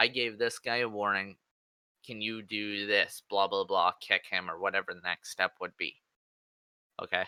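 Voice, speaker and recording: Recorded dry and close with no echo, a man with a fairly low pitch and a bright, sharp tone speaks at a moderate pace with fairly even intonation, big swings in loudness and long, frequent pauses. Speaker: gamer, game server staff member. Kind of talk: casual chat. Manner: rhythmic cadence.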